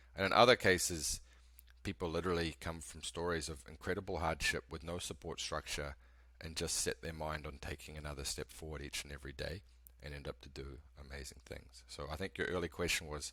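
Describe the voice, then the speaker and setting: A man's very deep, bright, sharp voice with vocal fry, fairly quick and fairly even in intonation, with big swings in loudness. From New Zealand. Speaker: company founder and CEO. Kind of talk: podcast interview.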